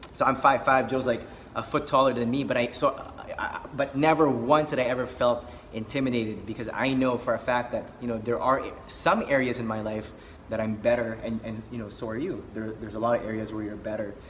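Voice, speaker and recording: Over noticeable background noise, a man talks at a fairly quick pace in a medium pitch with fairly even intonation. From Philippines. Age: 30s. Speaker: social skills coach. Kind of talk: casual conversation. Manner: many fillers and repetitions.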